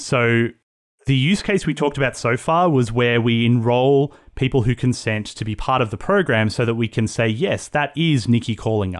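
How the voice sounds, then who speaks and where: A man talks in a normal speaking voice at medium pitch, with ordinary pitch variation and a moderate pace. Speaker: technical business development manager. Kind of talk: casual interview chat. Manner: friendly, jokey.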